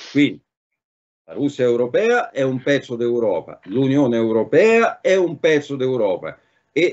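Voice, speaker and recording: The background is quiet as a man speaks at a moderate pace. His fairly high pitch moves in very wide swings. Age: 60s. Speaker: political commentator; remote guest. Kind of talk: talk show discussion. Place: home room. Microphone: video call.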